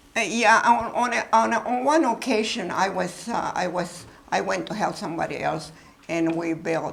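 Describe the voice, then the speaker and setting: A woman talks at a moderate pace, her intonation lively, with noticeable background noise around her. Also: medium pitch for a woman. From Mexico. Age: 80s+. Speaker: former wartime riveter. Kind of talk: talk and Q&A with students.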